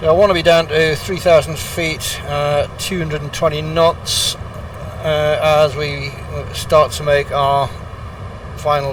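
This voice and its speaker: Over noticeable background noise, a man with a British accent talks at a fairly slow pace in a relaxed tone, leaving long, frequent pauses. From Britain. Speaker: flight simulator streamer. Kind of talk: casual commentary. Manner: relaxed, with frequent fillers.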